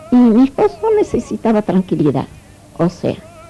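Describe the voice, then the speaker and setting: A woman speaks at a fairly slow pace with music playing in the background. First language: Italian (speaking Spanish). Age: 70s. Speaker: immigrant interviewee, Italian teacher. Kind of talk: interview, life story.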